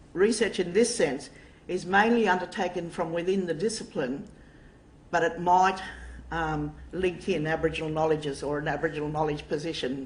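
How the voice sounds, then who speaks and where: Somewhat breathy and fairly quick, the speech comes in an Australian accent with audible room echo. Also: woman, fairly low pitch for a woman, ordinary pitch variation. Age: 60s. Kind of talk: lecture. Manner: halting.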